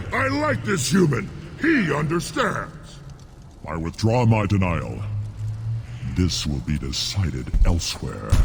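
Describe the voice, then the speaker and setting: Using a put-on character voice, a man speaks at a fairly slow pace with long, frequent pauses against clear background noise. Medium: video game. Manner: haughty, harsh.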